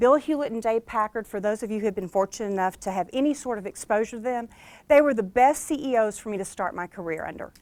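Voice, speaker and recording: An unremarkable speaking voice from a woman with an American accent, fairly high pitch and lively intonation, in a dry, close sound with no echo. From US South, Arkansas (Hot Springs). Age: 50s. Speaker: motivational speaker and author. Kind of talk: keynote speech. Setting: stage with audience.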